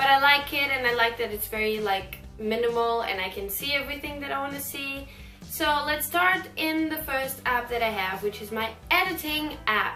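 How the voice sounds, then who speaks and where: Music plays behind a woman whose raised, projected voice is high-pitched, with lively intonation. She keeps a moderate pace, and the room echo is audible. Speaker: YouTuber. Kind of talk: casual vlog tutorial.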